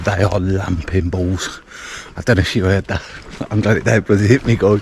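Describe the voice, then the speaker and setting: Over noticeable background noise, a man with a fairly low pitch talks at a fairly quick pace with fairly even intonation. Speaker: solo camping vlogger. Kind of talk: casual vlog narration. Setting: outdoors. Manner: whispering.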